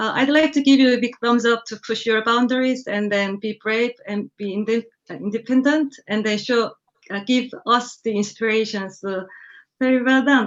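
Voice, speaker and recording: A woman with a non-native accent speaks at a moderate pace, her fairly high voice keeping a fairly even intonation. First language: not English. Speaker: car design judge. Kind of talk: panel feedback. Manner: halting.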